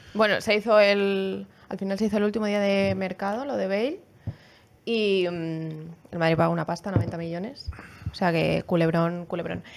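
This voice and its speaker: At a moderate pace, a woman uses an ordinary speaking voice with medium pitch and ordinary pitch variation. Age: 20s. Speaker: football podcast panelist. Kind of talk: casual chat.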